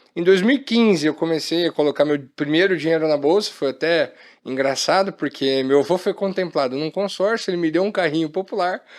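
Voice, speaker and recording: A man's high-pitched voice at a fairly quick pace, with ordinary pitch variation, hardly any pauses, and a very clean recording over a silent background. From Maringá, Paraná, southern Brazil. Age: 20s. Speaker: company co-founder and executive. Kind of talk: podcast interview.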